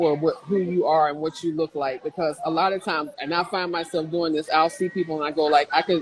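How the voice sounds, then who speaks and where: Her intonation is flat and monotone, her pitch fairly low. This woman is heard over noticeable background noise. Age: 60s. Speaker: plus-size mature model. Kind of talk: interview. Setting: livestreamed video call.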